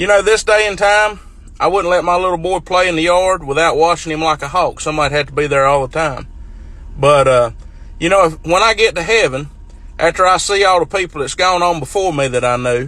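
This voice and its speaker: A man speaks in a rural North Carolina accent with a high pitch. His pace is fairly quick, and his pitch varies in an ordinary way. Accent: Southern US, North Carolina rural. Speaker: farmer. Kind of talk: casual storytelling to camera.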